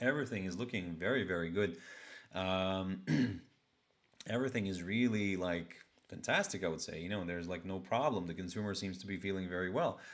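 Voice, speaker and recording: A man's very deep, low voice at a fairly quick pace, with ordinary pitch variation and audible room echo. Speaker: financial markets show host. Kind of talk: live market commentary. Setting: live stream. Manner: casual, many filler words.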